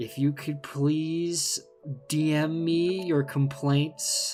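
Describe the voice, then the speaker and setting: Clear music plays behind a put-on character voice at a middle pitch, delivered at a very slow pace. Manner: polite, officious.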